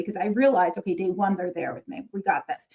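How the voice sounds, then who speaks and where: An animated tone from a woman with an American accent. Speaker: middle school marketing teacher and YouTuber. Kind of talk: casual talk to fellow teachers.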